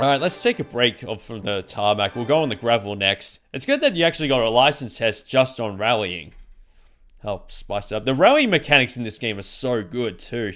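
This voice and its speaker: An Australian accent at a fairly quick pace, ordinary pitch variation, very clean recording with a silent background. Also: man, medium pitch for a man. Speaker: video game streamer. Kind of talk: live gameplay commentary. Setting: live stream. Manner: casual, halting with self-corrections.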